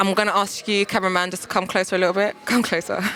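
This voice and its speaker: A woman's animated, medium-pitched voice in a South London accent, at a fairly quick pace, with noticeable background noise. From London, Peckham. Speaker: TV presenter. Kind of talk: presenting and street interviews.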